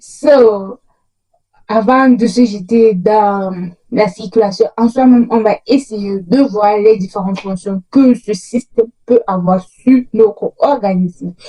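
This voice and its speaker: A woman speaks at a very slow pace, somewhat breathy, with a dark, mellow tone. Her fairly high pitch holds fairly even intonation. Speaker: educational youtuber. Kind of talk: tutorial. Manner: halting.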